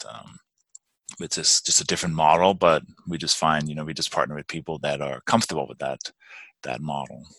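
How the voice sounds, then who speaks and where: In a Danish accent, a man with a very deep, low pitch and vocal fry talks at a fairly quick pace, using fairly even intonation and long, frequent pauses, in a dry, close sound with no echo. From Denmark. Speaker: real estate investor. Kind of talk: interview. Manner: halting.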